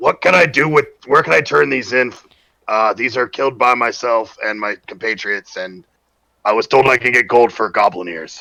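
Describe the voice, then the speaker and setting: A raspy put-on character voice moves at a moderate pace. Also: man, medium pitch for a man. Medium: actual play.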